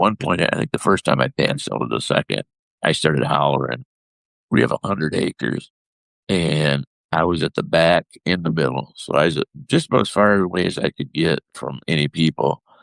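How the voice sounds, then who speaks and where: A man's very deep, low voice with vocal fry and ordinary pitch variation, in a dry, close sound with no echo. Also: fairly quick pace. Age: 60s. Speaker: husband of the host, injury survivor. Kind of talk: testimony.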